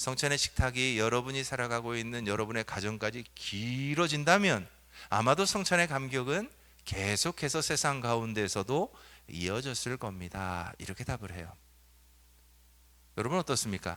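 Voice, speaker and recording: A bright, sharp tone with lively intonation at a moderate pace, on a very clean recording with a silent background. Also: man, medium pitch for a man. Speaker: pastor. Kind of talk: sermon. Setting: church. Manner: conversational, asks congregation questions.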